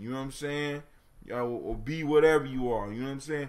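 Ordinary pitch variation marks the speech, with noticeable background noise behind it. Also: man. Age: 40s. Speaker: internet radio host. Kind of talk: casual call-in radio talk with proverb discussion. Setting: home studio with mic. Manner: animated.

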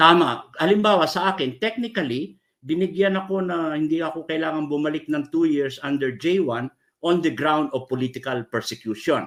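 At a moderate pace, a man with an ordinary speaking voice talks at a fairly high pitch with ordinary pitch variation, in a very clean recording with a silent background. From Philippines, Ilocano (Abra). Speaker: human rights lawyer. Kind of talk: interview.

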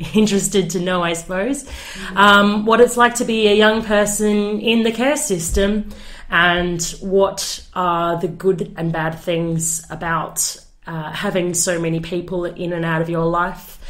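A woman has an ordinary speaking voice with a medium pitch. She talks at a fairly slow pace with ordinary pitch variation. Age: young. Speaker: youth advocate for children in care. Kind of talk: interview answer.

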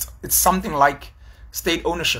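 A man in a South African accent with vocal fry, at a fairly quick pace. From South Africa, KwaZulu-Natal. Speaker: YouTube commentator. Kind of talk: solo vlog commentary. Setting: on location at a conference. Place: home room. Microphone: phone near.

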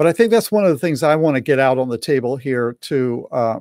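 A man speaks at a moderate pace with an American accent. The sound is dry with no echo, and the background is quiet. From US South. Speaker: pastor and marriage coach; pastor, marriage coach. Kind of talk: online talk and interview. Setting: live video stream. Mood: warm, calm, caring. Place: home room.

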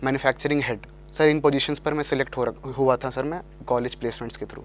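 At a moderate pace, a man talks with fairly even intonation in a dry recording with no echo. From Delhi, India. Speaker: engineering graduate, exam topper; guest. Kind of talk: interview. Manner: formal. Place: studio. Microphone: lapel.

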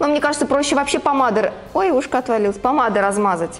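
Faint music sits in the background. A woman speaks at a moderate pace. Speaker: family vlogger. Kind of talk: casual vlog chat. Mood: playful, laughing. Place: home room. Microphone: lapel.

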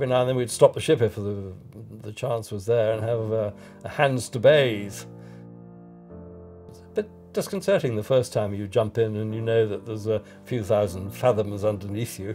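A man at a moderate pace with fairly even intonation and long, frequent pauses, faint music in the background. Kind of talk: interview answer. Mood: fond, reminiscing. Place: home room.

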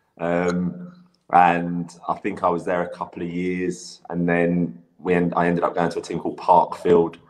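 The speech moves at a moderate pace. Its intonation is flat and monotone. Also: man, very deep, low pitch for a man. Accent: English. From England. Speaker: former footballer and youth coach. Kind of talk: casual interview. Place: home room.

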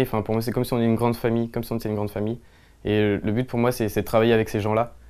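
A man speaks in a fairly low voice. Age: 20s. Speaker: clothing brand founder. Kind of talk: interview talk. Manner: hesitant, many fillers. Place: shop. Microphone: lapel.

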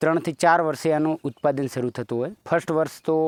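A man with a fairly high pitch and an ordinary speaking voice, in a dry, close sound with no echo and a quiet background. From Gujarat, Banaskantha district (north Gujarat). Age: 40s. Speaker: farmer. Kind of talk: interview.

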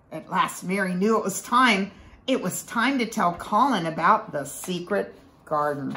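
Someone reads aloud in a natural voice. The intonation is lively.

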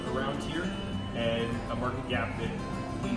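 Loud music in the background and audible room echo surround a man speaking at a moderate pace. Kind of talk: interview answer. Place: bar. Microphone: camera far.

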